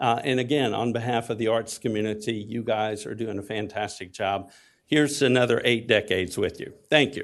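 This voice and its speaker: A man speaks with a Texas accent. His pace is fairly quick and his intonation fairly even. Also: medium pitch for a man. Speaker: community theater executive. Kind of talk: public comment testimony. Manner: hesitant with fillers.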